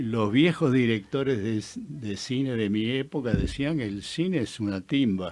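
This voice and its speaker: Someone with an Argentine accent speaks at a fairly slow pace in a very clean recording with a silent background. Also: man. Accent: Argentine Spanish (Rioplatense). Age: 80s+. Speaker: film director. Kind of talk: radio interview.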